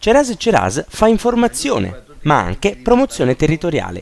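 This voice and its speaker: Music in the background behind a man's moderate-paced speech. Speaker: news presenter. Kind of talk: TV news feature narration.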